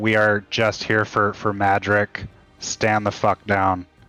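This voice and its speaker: A put-on character voice from a man, fairly low in pitch, monotone and flat, at a fairly slow pace with faint music in the background. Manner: unconvincing, whiny.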